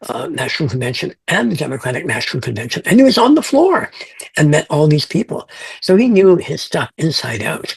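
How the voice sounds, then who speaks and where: Here a man talks at a fairly quick pace. His fairly high pitch moves in very wide swings. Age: 70s. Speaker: fantasy author. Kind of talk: interview. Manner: halting.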